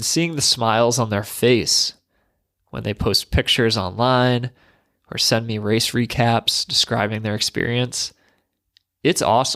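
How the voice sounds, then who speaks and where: A man speaks at a medium pitch and a fairly slow pace, with fairly even intonation and long, frequent pauses, in a dry, close sound with no echo on a very clean recording with a silent background. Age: 30s. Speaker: running coach and podcast host. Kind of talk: podcast intro monologue.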